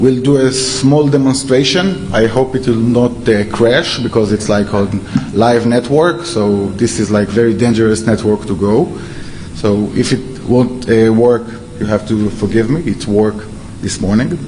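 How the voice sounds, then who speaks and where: A man's medium-pitched voice with an Israeli accent, noticeable background noise and audible room echo. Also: ordinary pitch variation, fairly slow pace. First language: Hebrew. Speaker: security researcher. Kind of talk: conference talk. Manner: halting, many fillers.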